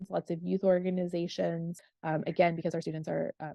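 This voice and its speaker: This woman speaks with a fairly low pitch. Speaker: professor. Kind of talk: online info session. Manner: fast; many filler ums.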